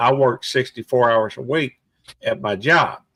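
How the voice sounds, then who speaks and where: This is a man with an unremarkable speaking voice at a medium pitch. He talks at a fairly slow pace with ordinary pitch variation. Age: 60s. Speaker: YouTuber and police officer. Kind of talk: casual chat.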